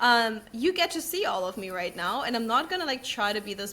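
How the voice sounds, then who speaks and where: Over noticeable background noise, the speaker talks at a fairly quick pace in an animated tone. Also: woman. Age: 20s. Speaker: podcast host. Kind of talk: casual chat. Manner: fast.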